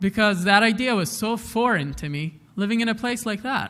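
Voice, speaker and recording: Bright, sharp tone, ordinary pitch movement and a moderate speed. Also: man. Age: young. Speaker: educator and speaker. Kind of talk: public talk to an audience.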